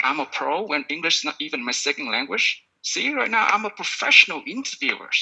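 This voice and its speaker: With a Vietnamese accent, a man of fairly high pitch talks at a fairly quick pace with lively intonation and hardly any pauses. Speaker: podcast coach. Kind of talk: sales pitch. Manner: animated.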